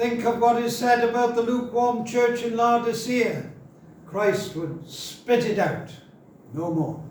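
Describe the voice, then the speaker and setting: With a North Welsh accent, the voice moves at a fairly slow pace, with noticeable background noise and audible room echo. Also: man, extremely high pitch for a man, ordinary pitch variation. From Wales (North Wales, near Wrexham). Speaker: pastor. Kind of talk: sermon.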